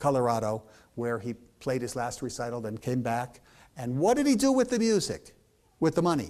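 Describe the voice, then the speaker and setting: A dark, mellow tone with ordinary pitch variation moves at a fairly quick pace in a very clean recording with a silent background. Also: man, medium pitch for a man. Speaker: piano lecturer and author. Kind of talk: public lecture. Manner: animated.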